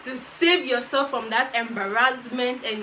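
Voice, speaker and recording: A woman speaks at a moderate pace in a raised, projected voice over light background noise. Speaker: vlogger. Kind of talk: casual advice vlog.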